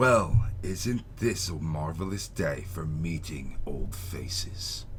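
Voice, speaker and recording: A booming put-on character voice from a man, very deep and low, at a very slow pace with ordinary pitch variation, over clear background noise. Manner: jovial, greeting.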